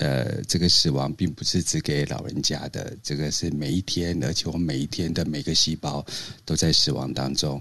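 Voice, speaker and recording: Vocal fry runs through a man's very deep, low voice, and his intonation is fairly even. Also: moderate pace. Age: 50s. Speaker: podcast co-host. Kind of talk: casual chat. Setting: Clubhouse live room.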